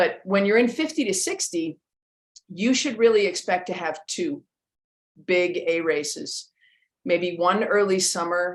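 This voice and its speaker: A woman with a fairly low pitch speaks at a fairly slow pace with ordinary pitch variation, in a normal speaking voice. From western Canada. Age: 50s. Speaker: strength coach. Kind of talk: interview. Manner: casual, with fillers.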